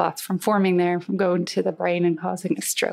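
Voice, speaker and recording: A woman with a western Irish accent talks at a fairly quick pace. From Ireland, Galway. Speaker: engineering professor. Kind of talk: interview.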